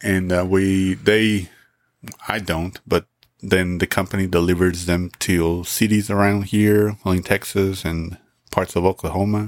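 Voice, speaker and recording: In a Spanish accent, a man with a very deep, low pitch speaks at a fairly slow pace with monotone, flat intonation. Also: dry, close sound with no echo. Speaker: podcast host. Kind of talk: casual chat. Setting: home recording.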